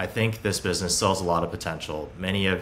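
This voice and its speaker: Over light background noise, a man with a very deep, low pitch speaks at a very fast pace with fairly even intonation. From Hong Kong and Beijing, China. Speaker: startup founder and CEO. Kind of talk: interview. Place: home room.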